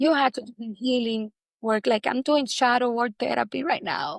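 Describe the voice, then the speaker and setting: A woman with a fairly high voice and lively intonation speaks at a moderate pace, her sound dry and close with no echo on a very clean recording with a silent background. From Dominican Republic. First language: Spanish. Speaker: actress. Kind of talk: interview.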